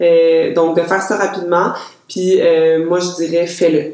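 Audible room echo surrounds a woman's fairly low voice. She speaks at a fairly slow pace. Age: 30s. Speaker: lawyer and workplace investigator. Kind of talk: interview about personal experience.

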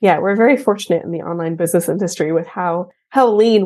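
Woman with an American accent, fairly low pitch and dark, mellow tone, at a very fast pace with ordinary pitch variation and a quiet background. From Texas. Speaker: accountant. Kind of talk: interview.

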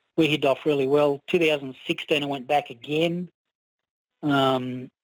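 A fairly high-pitched male voice with a dry, close sound and no echo. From Australia. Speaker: car enthusiast. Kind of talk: casual chat.

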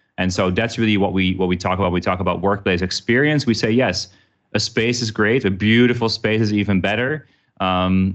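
With a Dutch accent, the speaker keeps a moderate pace and fairly even intonation against a quiet background. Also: man. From Netherlands. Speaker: workplace company executive. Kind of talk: casual interview. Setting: remote recording.

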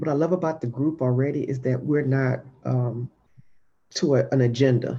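At a moderate pace broken by long, frequent pauses, a woman speaks at a very deep, low pitch with a dark, mellow tone. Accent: American. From Jacksonville, Florida. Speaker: business owner. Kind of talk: casual panel chat.

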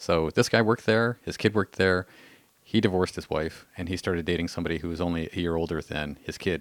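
On a very clean recording with a silent background, a man with a very deep, low pitch talks at a very fast pace with ordinary pitch variation. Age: 40s. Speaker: podcast host. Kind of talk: casual chat. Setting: studio. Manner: hesitant, many fillers.

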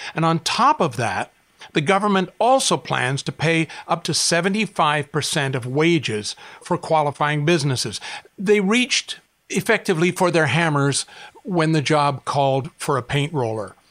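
An unremarkable speaking voice from a man, fairly high in pitch, comes at a fairly slow pace with lively intonation. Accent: Canadian. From Canada. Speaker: author. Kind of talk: scripted narration.

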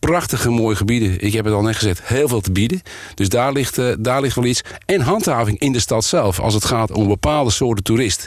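A man's medium-pitched voice at a fairly quick pace, with very even loudness and ordinary pitch variation. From Noord-Holland, Volendam area. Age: 60s. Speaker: provincial politician, former police officer. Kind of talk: interview. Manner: hesitant, many filler sounds.

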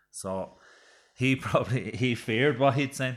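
Recorded very cleanly against a silent background, a man talks with an Irish accent. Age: 30s. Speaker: boxer and retired Gaelic footballer. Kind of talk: casual chat.

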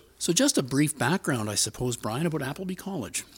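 Pitch swings very widely in this man's somewhat breathy voice. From Ontario, Canada. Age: 60s. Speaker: storyteller, publisher. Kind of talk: storytelling, personal ghost story.

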